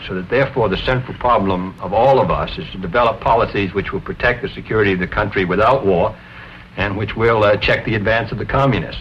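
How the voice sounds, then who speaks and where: Very fast speech in an American accent with ordinary pitch variation over noticeable background noise. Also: man. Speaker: senator. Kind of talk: scripted political discussion.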